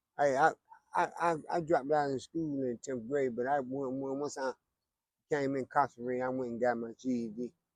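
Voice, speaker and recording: A man speaks with a North Carolina accent and fairly even intonation. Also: medium pitch for a man, moderate pace. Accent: Southern US, North Carolina. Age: 60s. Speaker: homeless man interviewed. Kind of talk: street interview. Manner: halting, repeats words.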